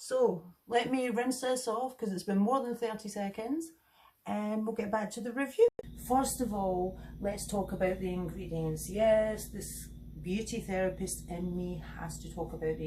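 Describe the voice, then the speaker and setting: With a Scottish accent, a woman talks at a moderate pace over noticeable background noise. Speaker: beauty therapist and skincare reviewer. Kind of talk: product review tutorial.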